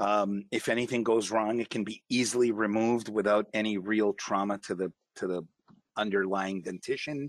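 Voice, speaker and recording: A man speaks at a moderate pace in a normal speaking voice, fairly low in pitch. His intonation stays fairly even, and the sound is dry and close with no echo. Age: 50s. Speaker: dental technician. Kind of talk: interview.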